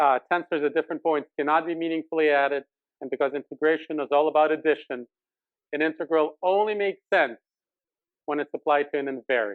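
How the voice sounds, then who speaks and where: A man races along at a very fast pace, his pitch fairly high and ordinary in its variation. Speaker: math lecturer. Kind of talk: lecture.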